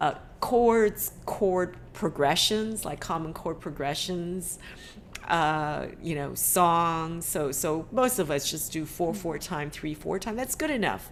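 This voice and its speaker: Speech comes at a very slow pace with a Chinese accent. The pitch moves in an ordinary way. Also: woman, fairly low pitch for a woman. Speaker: ukulele teacher and meeting host. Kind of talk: casual video-call discussion. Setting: video call.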